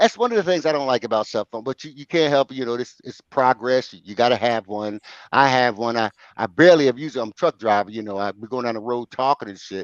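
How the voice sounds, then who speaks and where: A man speaks at a very fast pace in a medium pitch with ordinary pitch variation, an animated tone and big swings in loudness. The sound is dry and close with no echo over a quiet background. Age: 60s. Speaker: truck driver, show panelist. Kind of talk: casual chat. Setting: call-in to live stream with headset.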